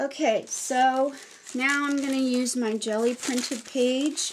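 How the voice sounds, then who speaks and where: A woman's high-pitched voice at a very slow pace. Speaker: craft video creator. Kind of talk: tutorial. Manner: casual, halting with fillers.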